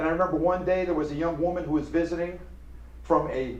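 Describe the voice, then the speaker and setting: A man speaks at a high pitch. Audible room echo and noticeable background noise surround his voice. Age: 60s. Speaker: professor. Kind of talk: lecture. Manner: animated.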